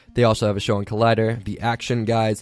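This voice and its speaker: A man with a medium pitch rattles off his words at a very fast pace. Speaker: podcast host. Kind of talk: casual podcast talk. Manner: conversational, filler-heavy.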